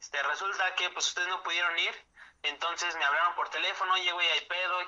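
Over noticeable background noise, a man with a Mexico City accent speaks in a high pitch. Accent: central Mexican Spanish (Mexico City area). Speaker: podcast co-host. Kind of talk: casual chat. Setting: home studio, remote recording.

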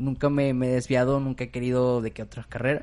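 At a moderate pace, a man talks at medium pitch in a plain, everyday voice. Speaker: podcast host. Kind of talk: casual chat.

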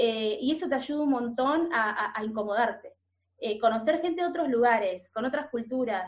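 With a porteño accent, a woman speaks at a moderate pace with a high pitch and lively intonation. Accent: porteño Rioplatense Spanish. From Buenos Aires, Argentina. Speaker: culture content creator. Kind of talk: casual interview.

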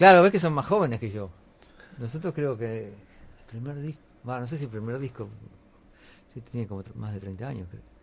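Somewhat breathy and medium in pitch, a man speaks with lively intonation, big swings in loudness and long, frequent pauses. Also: moderate pace. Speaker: radio host. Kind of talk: casual chat.

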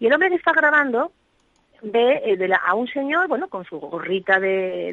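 This woman's high voice swings very widely in pitch. She speaks at a moderate pace. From Asturias, Spain. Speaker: evangelical pastor. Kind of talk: testimony. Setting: remote connection.

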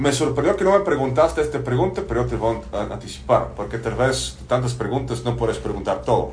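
Against noticeable background noise and audible room echo, a man talks at a fairly quick pace with hardly any pauses. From Bulgaria. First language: Bulgarian (speaking Spanish). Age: 40s. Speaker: business consultant, former lawyer. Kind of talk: podcast interview. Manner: hesitant, many fillers.

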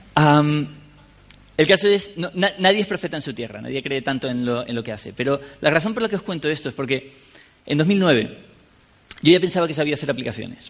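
A man with a fairly high pitch speaks at a fairly quick pace with lively intonation. He leaves long, frequent pauses. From Canary Islands, Spain (La Laguna, Tenerife). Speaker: software developer and conference speaker. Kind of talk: conference talk. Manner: halting, with frequent repetitions and fillers.

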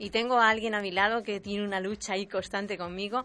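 A woman's bright, sharp voice with fairly even intonation. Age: 40s. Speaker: local radio presenter. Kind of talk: casual interview chat. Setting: radio studio.

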